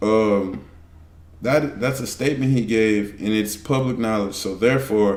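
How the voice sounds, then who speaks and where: Audible room echo follows a man speaking at a medium pitch and a fairly slow pace. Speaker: streamer reacting to videos. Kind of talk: casual reaction commentary. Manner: stuttering, repeats words.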